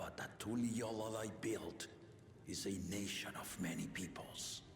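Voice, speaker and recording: Doing a put-on character voice, a man talks fairly slowly at a fairly low pitch, with clear background noise and a slight echo. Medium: video game. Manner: commanding, formal.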